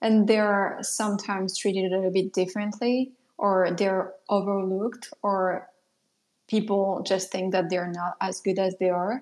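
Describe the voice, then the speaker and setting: Speaking at a fairly slow pace, a woman with a French accent keeps a medium pitch and a monotone, flat intonation. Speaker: product designer and mentor. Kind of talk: casual interview chat. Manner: hesitant, many fillers.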